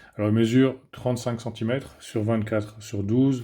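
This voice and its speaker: With a Belgian accent, a man of medium pitch and a dark, mellow tone speaks at a fairly quick pace with fairly even intonation. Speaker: tech reviewer. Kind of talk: product review. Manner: hesitant, many filler sounds.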